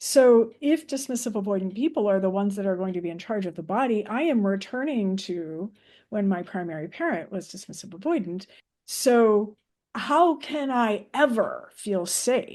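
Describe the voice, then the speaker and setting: A woman's dark, mellow voice at medium pitch, lively intonation, moderate pace, quiet background. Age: 60s. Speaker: podcast guest sharing lived experience. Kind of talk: interview conversation. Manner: halting.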